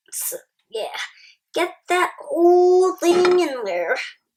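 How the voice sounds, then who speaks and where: In a put-on character voice, someone speaks at a very slow pace with an extremely high pitch. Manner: humorous, playful.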